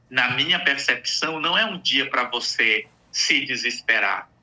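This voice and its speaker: Noticeable background noise is present throughout. A man speaks at a fairly slow pace. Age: 60s. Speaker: psychologist. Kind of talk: radio interview.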